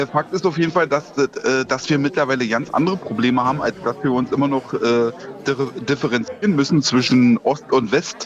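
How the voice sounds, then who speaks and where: A man with a fairly high pitch, lively intonation, a moderate pace and very even loudness, against noticeable background noise. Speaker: caller. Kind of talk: casual chat. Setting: phone call.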